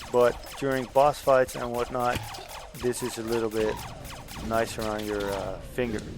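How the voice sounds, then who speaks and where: Over background music, a man speaks at a moderate pace. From Netherlands. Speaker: indie game developer and tattoo artist. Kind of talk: gameplay commentary. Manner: casual, hesitant with fillers.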